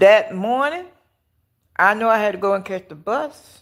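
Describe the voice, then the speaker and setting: With lively intonation and an animated tone, a woman at medium pitch speaks at a moderate pace. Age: 60s. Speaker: live-stream commentator. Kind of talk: casual live chat. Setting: outdoors. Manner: halting, repetitive.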